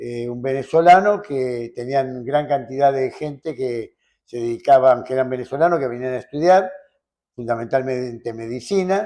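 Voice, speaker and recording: A man's medium-pitched, dark, mellow voice at a moderate pace, with ordinary pitch variation. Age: 80s+. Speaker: lawyer. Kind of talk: interview answer.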